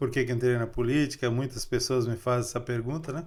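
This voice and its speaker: This man talks at a medium pitch. His intonation is monotone and flat. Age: 60s. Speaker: local politician. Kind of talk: interview.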